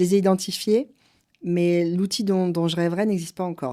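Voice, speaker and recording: A woman with a dark, mellow tone talks at a medium pitch and moderate pace, her pitch varying in an ordinary way. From France. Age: 50s. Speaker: company director. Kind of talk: interview. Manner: halting.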